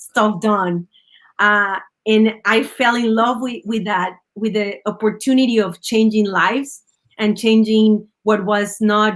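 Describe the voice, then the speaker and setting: In a Spanish accent, a woman speaks at a very slow pace with fairly even intonation and a fairly high pitch. The recording is very clean, with a silent background. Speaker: union leader and former teacher. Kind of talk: interview. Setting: live stream.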